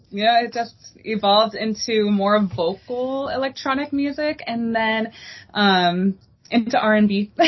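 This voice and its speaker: Speaking in a plain, everyday voice with an American accent, a woman uses a fairly high pitch and ordinary pitch variation. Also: fairly slow pace. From Texas, El Paso. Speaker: R&B singer. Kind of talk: interview.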